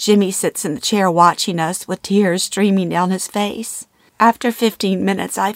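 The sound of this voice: Someone reads in an unforced voice, and the intonation stays fairly even.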